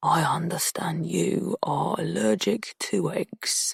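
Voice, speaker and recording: A man whispers in a put-on character voice at a very slow pace, with a dry, close sound and no echo. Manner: menacing.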